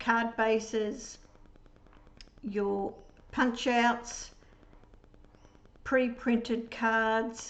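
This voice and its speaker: Audible room echo surrounds a woman speaking at a very slow pace. Her fairly high voice has monotone, flat intonation. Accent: Australian. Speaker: papercraft demonstrator. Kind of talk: product demonstration tutorial.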